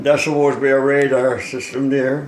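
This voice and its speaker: With a Newfoundland accent, this man speaks at a moderate pace in a fairly high pitch and a monotone, flat intonation, with noticeable background noise behind him. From Newfoundland, Canada. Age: 80s+. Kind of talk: casual talk showing a model boat. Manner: alert.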